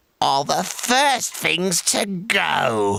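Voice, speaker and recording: This character voice is put on by a man. It sits high in pitch. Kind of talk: comic storytelling with villain voice. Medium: read story. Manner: sly, gloating.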